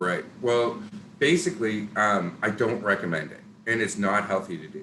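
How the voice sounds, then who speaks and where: In a Canadian accent, the speaker talks at a moderate pace with lively intonation, a bright, sharp tone, and big swings in loudness. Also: man, fairly low pitch for a man. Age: 40s. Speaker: local business owner and town councillor. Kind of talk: interview. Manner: occasional stutter and word-finding pauses.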